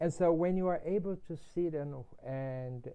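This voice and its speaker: A man is speaking. He has a Portuguese accent. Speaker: integrative medicine doctor. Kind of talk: podcast interview.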